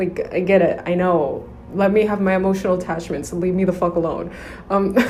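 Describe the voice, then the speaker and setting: Over noticeable background noise, a woman talks at a fairly quick pace. Her medium pitch stays monotone, with flat intonation. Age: young. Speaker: podcaster on daydreaming. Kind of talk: casual podcast talk.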